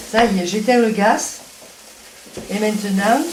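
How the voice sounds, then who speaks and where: A woman with a Provençal accent, fairly high pitch and fairly slow pace, plus noticeable background noise. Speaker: home cook. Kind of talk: cooking demonstration.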